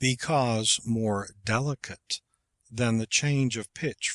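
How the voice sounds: Quiet surroundings behind a natural reading voice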